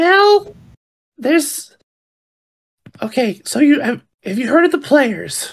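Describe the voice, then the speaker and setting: Someone puts on a high-pitched character voice, speaking at a fairly slow pace with long, frequent pauses. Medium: actual play. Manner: excitable, loud.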